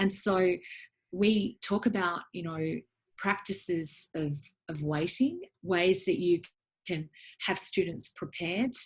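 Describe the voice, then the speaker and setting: A somewhat breathy woman with an Australian accent and fairly low pitch, at a fairly slow pace with long, frequent pauses. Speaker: education academic and book author. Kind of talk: interview about her book. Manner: hesitant with frequent ums.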